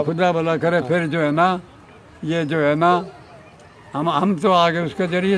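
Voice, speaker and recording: Clear background noise beneath fairly even intonation. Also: man. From Haryana, India. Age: 80s+. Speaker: former police officer. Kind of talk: interview answer.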